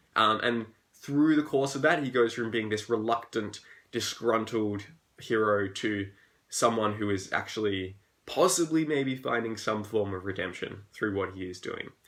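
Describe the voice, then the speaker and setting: With an Australian accent and an upbeat tone, a man speaks at a moderate pace in a medium pitch with ordinary variation. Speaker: fantasy author. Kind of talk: live Q&A stream. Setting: live video stream at home. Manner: casual, upbeat.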